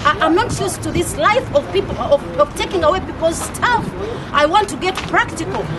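A woman talks at a fairly quick pace with extremely high pitch and lively intonation. Background noise is clearly audible.

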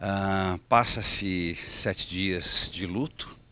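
A man speaks in a very deep, low voice, with a dry sound with no echo. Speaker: stage actor promoting his play. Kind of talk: promotional interview to camera. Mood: warm, enthusiastic.

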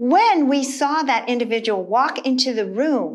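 The speech is fairly slow, with very wide pitch swings. The background is quiet. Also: woman. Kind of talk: instructional talk to camera. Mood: warm, earnest. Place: studio.

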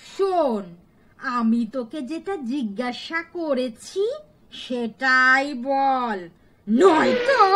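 This cartoonish character voice sounds female and high-pitched. The pace is very slow. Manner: threatening, domineering.

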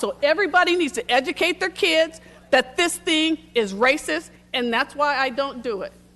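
The tone is bright and sharp, in an American accent. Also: woman. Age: 60s. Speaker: public commenter at city council. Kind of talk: public comment speech.

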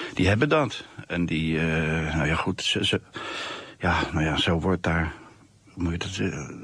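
In a dry recording with no echo, a man with a very deep, low pitch speaks fairly slowly, with ordinary pitch variation and long, frequent pauses. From Netherlands, The Hague; Netherlands. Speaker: comic artist. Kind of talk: radio interview.

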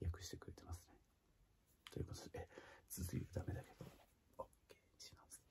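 A man speaks with a very deep, low pitch and a dark, mellow tone, somewhat breathy. His pace is moderate, with noticeable background noise. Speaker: singer. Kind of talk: casual talk to camera. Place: home room. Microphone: phone near.

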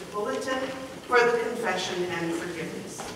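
There is strong room echo around this woman's voice. Noticeable background noise runs underneath. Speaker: pastor leading worship. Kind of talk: liturgy. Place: church. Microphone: camera far.

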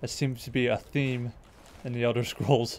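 The speaker is a man with medium pitch. His pace is moderate. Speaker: gaming youtuber. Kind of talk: gameplay commentary. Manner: animated.

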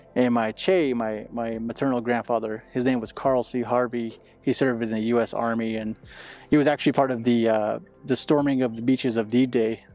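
Against faint background music, a man talks at a fairly quick pace with fairly even intonation, the sound dry with no echo. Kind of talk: interview answer. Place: street. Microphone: lapel.

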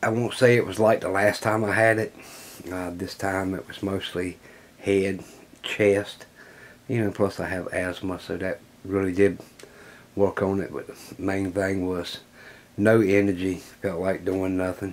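A man speaks at a fairly slow pace with fairly low pitch. His intonation is monotone and flat, with long, frequent pauses. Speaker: hobby workshop channel host. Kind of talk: casual vlog chat. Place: workshop.

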